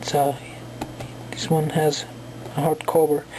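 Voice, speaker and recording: A woman with a Colombian accent amid noticeable background noise. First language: Spanish. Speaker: book reviewer. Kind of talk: casual video review. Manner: halting, many fillers.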